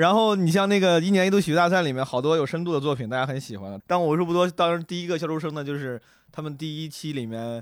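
The recording is very clean and the background silent. A man with a fairly high voice talks very rapidly, his pitch moving in a typical way. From Henan, China. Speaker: stand-up comedian. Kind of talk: casual chat.

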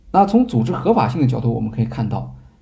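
A man with a dark, mellow tone talks in lively intonation, and the room echo is audible. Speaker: podcast host. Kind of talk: lecture-style monologue. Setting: live stream. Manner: hesitant fillers.

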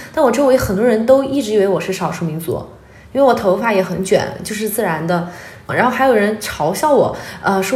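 Over noticeable background noise, a woman of medium pitch speaks at a fairly quick pace with lively intonation. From Sichuan, China (Liangshan / Guanghan). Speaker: archaeology worker and farm-aid volunteer. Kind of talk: interview conversation. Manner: lively, frank.

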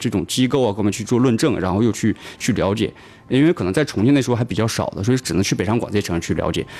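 Lively intonation lifts a man's medium-pitched voice with a northeastern Chinese accent. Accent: Northeast Chinese Mandarin. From Northeast China. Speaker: tech startup founder. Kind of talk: radio interview. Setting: radio studio.

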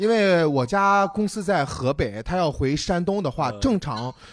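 The recording is very clean with a silent background. A man speaks slowly-ish, at a fairly slow pace, in a high pitch with very wide pitch swings. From Zibo, Shandong, China. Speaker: business staff at a stand-up comedy company. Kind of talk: casual chat.

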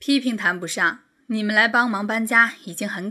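Pitch variation is ordinary in this natural reading voice.

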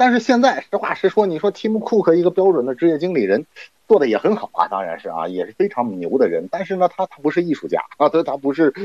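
A man talks fairly quickly, captured in a dry, close sound with no echo. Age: 40s. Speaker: internet and finance commentator. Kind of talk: podcast interview.

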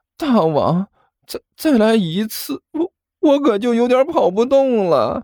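A put-on, whiny character voice at a fairly slow pace. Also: female-sounding voice, high pitch for a woman. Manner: whiny, pleading.

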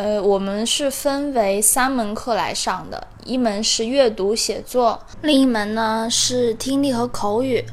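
Speaking very slowly in a high pitch, a woman uses ordinary pitch variation while audible room echo surrounds her voice. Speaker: community college student. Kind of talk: personal testimony.

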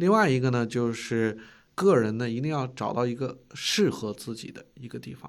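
At a moderate pace, a man speaks with medium pitch and ordinary pitch variation. His loudness swings widely. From China. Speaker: finance executive. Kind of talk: interview. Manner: hesitant, filler-heavy.

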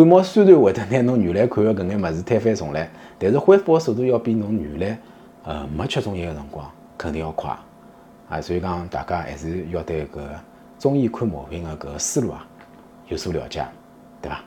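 With a Shanghai accent, a man speaks at a fairly quick pace in a very deep, low pitch, with very wide pitch swings, big swings in loudness and long, frequent pauses. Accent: Shanghainese speaker. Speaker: traditional Chinese medicine doctor. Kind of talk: casual talk to camera. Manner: conversational, frequent tag questions.

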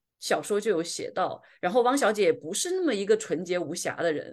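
Against a quiet background, a woman with a Guilin accent talks at a fairly quick pace, her medium pitch moving in very wide swings. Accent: Guilin-accented Mandarin. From southern China. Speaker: podcast host. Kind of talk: casual chat.

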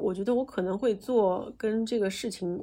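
A woman with a fairly high pitch and a dark, mellow tone speaks in a very clean recording with a silent background. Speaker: podcast host and marketing company founder. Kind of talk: casual interview chat. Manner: fiery, energetic.

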